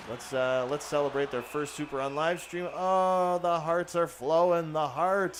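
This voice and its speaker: The speaker is a man. He talks at a moderate pace. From Canada. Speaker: gaming streamer. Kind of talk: live game commentary with chat reading. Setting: live stream. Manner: animated.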